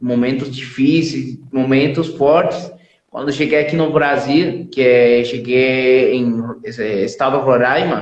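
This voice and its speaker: A man with a Spanish accent at a very slow pace, medium in pitch with ordinary pitch variation, amid audible room echo. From Venezuela. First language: Spanish (speaking Portuguese). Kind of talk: testimony. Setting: live stream.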